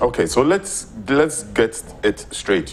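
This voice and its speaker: Pitch swings very widely as a man talks fairly slowly over noticeable background noise. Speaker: talk show host. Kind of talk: TV interview host.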